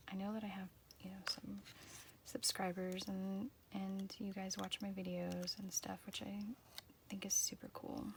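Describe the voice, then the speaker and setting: A woman speaks quietly at a moderate pace and medium pitch, with fairly even intonation and long, frequent pauses. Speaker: journaling vlogger. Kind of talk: casual chat. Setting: home art room. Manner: halting.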